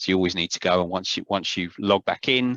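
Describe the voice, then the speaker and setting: A man with a South London accent and a very deep, low voice, going at a very fast pace. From South London, England. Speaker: publishing trainer presenting online courses. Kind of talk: Q&A session in a video-call seminar. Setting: video call. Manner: hesitant, many fillers.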